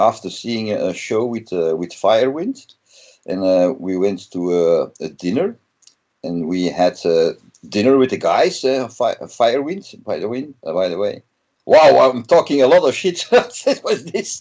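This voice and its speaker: A man with a Flemish accent speaks at a fairly slow pace. His medium pitch makes very wide swings. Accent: Flemish Dutch accent in English. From Belgium (Flanders). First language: Dutch. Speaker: metal guitarist. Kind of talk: interview. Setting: video call. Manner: halting, many fillers.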